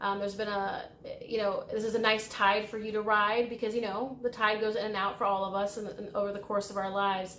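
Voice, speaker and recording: A voice with a US Midwestern accent speaks in a monotone, flat way, with audible room echo. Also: woman, fairly high pitch for a woman, fairly quick pace. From US Midwest, Illinois. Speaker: tarot reader and spiritual guide. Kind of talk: pick-a-card tarot reading. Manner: casual, with fillers and hesitations.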